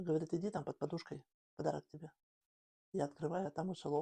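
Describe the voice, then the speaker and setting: A woman speaks with vocal fry in a very deep, low voice, her dark, mellow tone and fairly even intonation caught in a dry, close sound with no echo. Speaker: grandmother. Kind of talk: interview answer.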